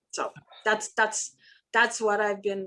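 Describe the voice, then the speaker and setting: A woman speaks with a non-native accent. Her pitch is medium. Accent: foreign. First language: not English. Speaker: filmmaker. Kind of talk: panel talk. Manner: halting.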